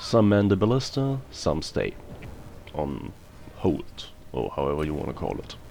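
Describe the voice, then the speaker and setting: Fairly low male voice at a moderate pace, lively in intonation, over noticeable background noise. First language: not English. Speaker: gaming video creator. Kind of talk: gameplay commentary.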